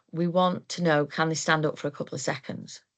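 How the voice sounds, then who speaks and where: Over a quiet background, a woman with a South Yorkshire accent speaks in a very deep, low pitch with fairly even intonation. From South Yorkshire, England. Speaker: occupational therapist, moving and handling trainer. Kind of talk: webinar presentation. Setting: online webinar.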